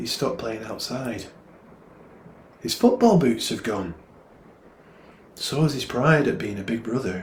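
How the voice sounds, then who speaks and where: A man with a northern English accent speaks at a fairly slow pace and medium pitch, with ordinary pitch variation, long, frequent pauses and audible room echo. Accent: northern English, gruff. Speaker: poet. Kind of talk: poetry reading. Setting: online livestream.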